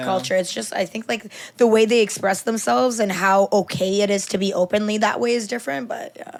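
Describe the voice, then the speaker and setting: A woman's medium-pitched voice at a fairly quick pace, hardly any pauses, ordinary pitch variation, and noticeable background noise. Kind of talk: casual podcast conversation.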